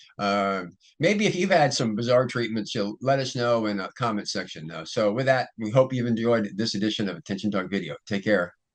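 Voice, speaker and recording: In an ordinary speaking voice, a man talks at a fairly quick pace with lively intonation and hardly any pauses, against a quiet background. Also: medium pitch for a man. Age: 60s. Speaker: ADHD coach and video host. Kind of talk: casual solo talk to camera. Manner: relaxed, many fillers and restarts.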